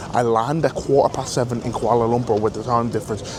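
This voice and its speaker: An animated man's voice over noticeable background noise. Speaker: pro rugby player and travel vlogger. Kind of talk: travel vlog. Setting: airport lounge. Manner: casual; quiet, near whisper.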